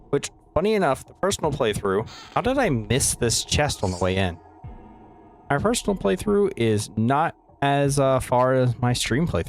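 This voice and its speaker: Over music in the background, a man with an American accent speaks at a moderate pace and medium pitch, with very wide pitch swings but very even loudness. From US, West Virginia. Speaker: video game streamer. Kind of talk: casual livestream commentary. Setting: home livestream, shared room with roommate. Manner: quiet. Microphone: noise gate cuts off quiet word endings.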